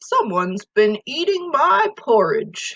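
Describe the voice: Putting on a growling character voice, a woman speaks fairly slowly at a fairly high pitch.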